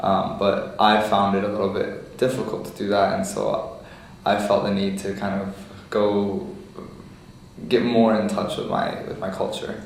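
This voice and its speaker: There is audible room echo and noticeable background noise as a man with a Lebanese accent speaks at a fairly slow pace. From United States. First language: Lebanese Arabic. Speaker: oral history interviewee. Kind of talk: interview.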